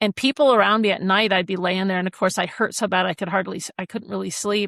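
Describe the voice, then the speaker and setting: A woman speaks in an ordinary speaking voice at a medium pitch. She talks at a fairly quick pace in a dry, close sound with no echo. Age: 60s. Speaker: attorney and coach. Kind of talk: interview testimony. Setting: podcast interview.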